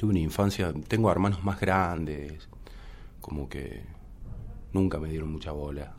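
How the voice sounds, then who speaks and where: With frequent long pauses, a man speaks in a very deep, low pitch with vocal fry, and the room echo is audible. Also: ordinary pitch variation, fairly slow pace. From Córdoba, Argentina. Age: 30s. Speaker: musician and DJ. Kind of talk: interview conversation. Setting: studio.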